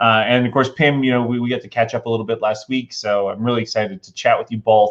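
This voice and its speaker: A man speaks with an American accent. His pitch is medium. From Utah, US. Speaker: interviewer. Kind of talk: interview. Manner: fast.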